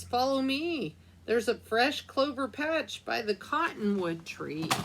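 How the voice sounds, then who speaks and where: In a put-on character voice, a woman speaks with a high pitch at a fairly slow pace. Clear background noise is present. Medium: read story.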